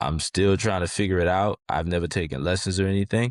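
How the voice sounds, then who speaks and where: A man with an American accent, very deep and low in pitch, at a fairly quick pace with fairly even intonation, in a dry, close sound with no echo. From New Orleans, Louisiana (uptown). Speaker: rapper. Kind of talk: interview. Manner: casual, halting.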